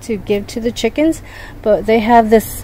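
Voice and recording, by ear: Over faint background noise, a woman talks with a dark, mellow tone and fairly even intonation.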